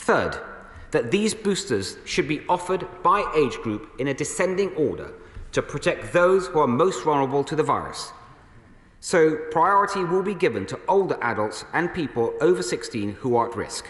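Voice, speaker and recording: At a moderate pace, a man speaks with audible room echo around him. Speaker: government minister. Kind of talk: formal parliamentary statement. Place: hall. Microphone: podium.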